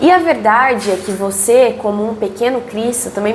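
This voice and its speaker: There is audible room echo and noticeable background noise as a woman speaks in a Brazilian accent. Her pitch is fairly high, with ordinary pitch variation. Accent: non-carioca Brazilian Portuguese. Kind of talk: Bible study teaching. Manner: casual, conversational.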